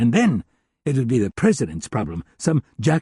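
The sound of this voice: Over a quiet background, this is an unforced reading voice.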